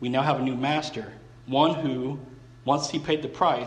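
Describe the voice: Fairly even intonation over plain reading aloud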